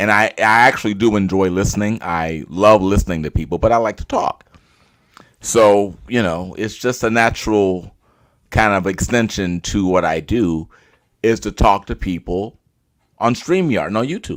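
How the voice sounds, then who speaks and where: With an American accent, a man speaks at a moderate pace in a fairly low pitch with ordinary pitch variation, on a very clean recording with a silent background. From Chicago, US. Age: 60s. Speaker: actor and director. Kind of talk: casual chat. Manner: animated, talkative.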